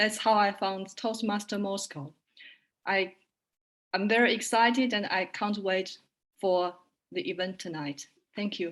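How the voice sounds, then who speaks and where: On a very clean recording with a silent background, a woman with a Chinese accent speaks at a medium pitch and a fairly slow pace, with fairly even intonation and long, frequent pauses. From China. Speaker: translator and interpreter. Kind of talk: self-introduction.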